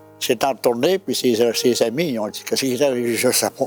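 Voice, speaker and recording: Over music in the background, a man with a Quebec accent talks fairly quickly at a medium pitch, with ordinary pitch variation. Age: 80s+. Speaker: evangelist. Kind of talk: interview answer, personal testimony.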